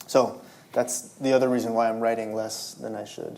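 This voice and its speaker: Amid noticeable background noise and audible room echo, a man with a Spanish accent speaks at medium pitch with fairly even intonation. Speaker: novelist. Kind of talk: public interview at a library event. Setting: stage with audience. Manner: halting, many repetitions and fillers.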